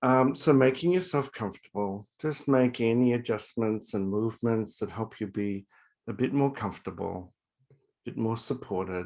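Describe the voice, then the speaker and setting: This man has an ordinary speaking voice at a medium pitch. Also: ordinary pitch variation, quiet background. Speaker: university faculty member leading guided meditation. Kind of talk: guided meditation. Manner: calm, soft-spoken, slow.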